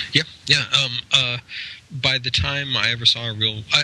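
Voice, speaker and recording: With noticeable background noise behind him, a man speaks with an American accent. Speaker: game designer and publisher. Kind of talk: casual interview. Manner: hesitant, many fillers.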